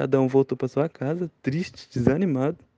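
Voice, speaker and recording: A man's dark, mellow tone at a moderate pace, with ordinary pitch variation and a dry, close sound with no echo. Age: 20s. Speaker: interviewee sharing a memory. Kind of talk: personal storytelling.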